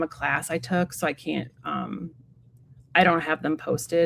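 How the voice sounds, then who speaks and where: Her voice carries vocal fry. The woman's pitch sits fairly low. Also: dry, close sound with no echo. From US Midwest, south suburbs of Chicago. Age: 40s. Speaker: tarot reader. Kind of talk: casual chat. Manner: halting, many fillers.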